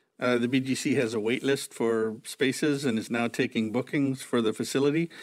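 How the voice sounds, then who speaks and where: In an ordinary speaking voice, a man of medium pitch talks at a fairly quick pace with fairly even intonation on a very clean recording with a silent background. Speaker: newspaper editor and podcast host. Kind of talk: interview.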